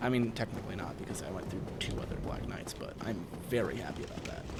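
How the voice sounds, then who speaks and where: A man speaks at a medium pitch with an American accent. Noticeable background noise and audible room echo are present. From Wisconsin. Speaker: gaming streamer. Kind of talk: live gameplay stream chat. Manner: halting, repetitive.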